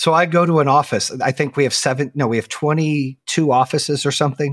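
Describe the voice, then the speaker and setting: A man with a normal speaking voice and an American accent talks at a fairly quick pace with a fairly high pitch and ordinary pitch variation, the sound dry and close with no echo on a very clean recording with a silent background. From Arizona, then North Carolina from age 14. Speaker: company founder and podcast host. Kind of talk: interview.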